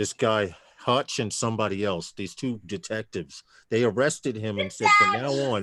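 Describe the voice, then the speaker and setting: A man with a bright, sharp tone and a slight New York accent. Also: fairly low pitch for a man, ordinary pitch variation, moderate pace, dry, close sound with no echo. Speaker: livestream panel host. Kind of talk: casual chat.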